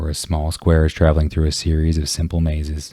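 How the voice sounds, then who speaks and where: Very deep and low, a man's dark, mellow, somewhat breathy voice moves at a fairly quick pace in a flat monotone. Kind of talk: ASMR book reading.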